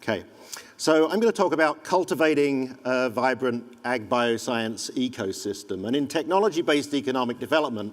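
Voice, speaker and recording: Speaking with an English accent at a fairly quick pace, the voice shows ordinary pitch variation. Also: man. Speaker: economic development consultant. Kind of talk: conference presentation.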